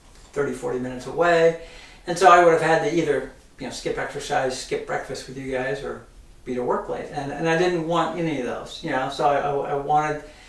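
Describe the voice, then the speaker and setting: Amid audible room echo and noticeable background noise, a man talks fairly quickly with fairly even intonation and big swings in loudness. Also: fairly high pitch for a man. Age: 60s. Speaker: podcast co-host, mortgage professional. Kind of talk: casual chat. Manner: halting, many fillers and repetitions.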